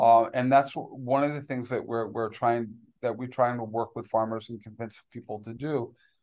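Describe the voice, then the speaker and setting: A man with a medium pitch speaks in a flat monotone at a moderate pace. His loudness swings widely against a quiet background. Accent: American. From New York City. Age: 50s. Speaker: agroforestry farmer. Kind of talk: casual chat. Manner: halting.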